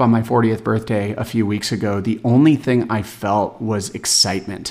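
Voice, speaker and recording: This is a man speaking. His pace is moderate. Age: 40s. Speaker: health and wellness coach. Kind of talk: solo podcast monologue. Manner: unscripted, off-the-cuff.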